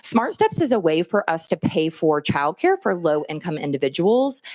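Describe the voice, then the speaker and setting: A woman speaks at a moderate pace with lively intonation and a fairly low pitch. The very clean recording has a silent background and a dry, close sound with no echo. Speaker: state government official. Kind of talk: legislative testimony. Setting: hearing room. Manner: not animated.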